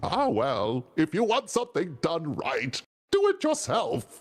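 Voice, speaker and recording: Faint music plays in the background as a put-on character voice delivers lines in a theatrical tone at a fairly slow pace. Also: man, high pitch for a man. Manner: villainous, theatrical.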